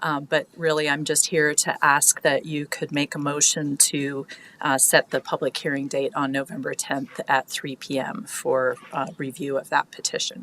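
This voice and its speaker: A woman speaks with a very deep, low pitch and fairly even intonation at a moderate pace. She takes hardly any pauses, and the sound is dry and close with no echo. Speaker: county staff member presenting an item. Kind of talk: public meeting presentation.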